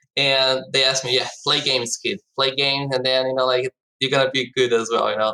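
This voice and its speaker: The speaker has a Portuguese accent. The tone is bright and sharp. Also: man. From Brazil. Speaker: esports startup co-founder. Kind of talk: podcast interview. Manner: frequent fillers, hesitant.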